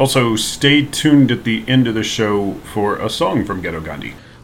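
Medium in pitch and lively in intonation, a man talks in an unremarkable speaking voice. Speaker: podcast host introducing episode. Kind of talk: scripted intro.

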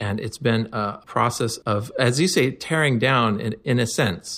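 Recorded very cleanly with a silent background, a man with a Pacific Northwest accent speaks at a fairly slow pace in a medium pitch with ordinary pitch variation. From US Pacific Northwest, eastern Washington. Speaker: philosopher and physicist. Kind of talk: casual interview chat. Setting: sitting in a room, in person.

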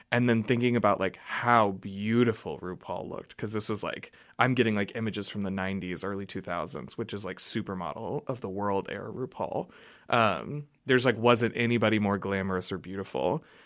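Heard on a very clean recording with a silent background, a normal speaking voice with an American accent moves at a fairly quick pace with ordinary pitch variation. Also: man, fairly low pitch for a man. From Oklahoma. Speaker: drag performer. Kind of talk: casual interview. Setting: radio studio.

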